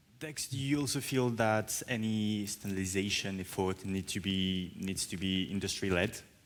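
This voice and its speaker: A fairly low-pitched man with a French accent, at a moderate pace with hardly any pauses and ordinary pitch variation. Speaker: journalist moderator. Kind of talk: panel moderation.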